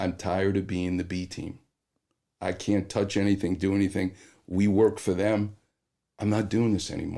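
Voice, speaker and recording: Heard in a very clean recording with a silent background, a speaker with an American accent and a dark, mellow tone moves at a moderate pace broken by long, frequent pauses. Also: man. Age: 60s. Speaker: orthopedic surgeon. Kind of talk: podcast interview storytelling. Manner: animated.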